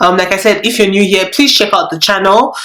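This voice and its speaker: A woman at a medium pitch with a Nigerian accent, over noticeable background noise. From Nigeria, Lagos. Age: 20s. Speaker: YouTuber. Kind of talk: casual vlog chat. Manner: casual, halting with fillers.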